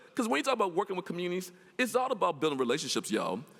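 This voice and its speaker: A man with a Mississippi accent talks at a very fast pace. His tone is animated, with very wide pitch swings. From US South. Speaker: professor. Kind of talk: lecture.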